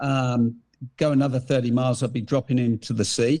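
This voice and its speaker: Against a quiet background, a man with an English accent speaks at a medium pitch. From England. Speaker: hunting gear company founder. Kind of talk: podcast interview.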